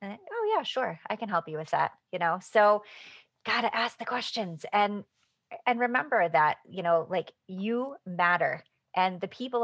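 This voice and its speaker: A plain, everyday voice talks at a fairly slow pace. Its pitch varies in an ordinary way over a quiet background. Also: woman. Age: 40s. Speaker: author. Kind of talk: casual chat.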